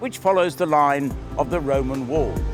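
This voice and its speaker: Over music in the background, a man with a fairly high pitch talks at a moderate pace with ordinary pitch variation. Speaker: town crier and walking tour guide. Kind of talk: guided walking tour narration, casual talk to camera.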